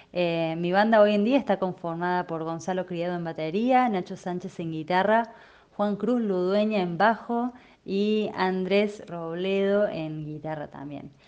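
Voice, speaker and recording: Delivered at a fairly slow pace with ordinary pitch variation, a plain, everyday voice comes through over a quiet background. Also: woman, medium pitch for a woman. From Córdoba, Argentina. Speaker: singer-songwriter. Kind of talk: interview testimony.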